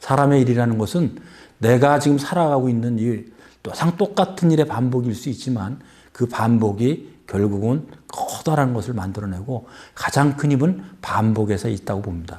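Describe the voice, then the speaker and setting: A man's medium-pitched voice with a dark, mellow tone and lively intonation, at a moderate pace, on a very clean recording with a silent background. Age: 60s. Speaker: author. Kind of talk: interview.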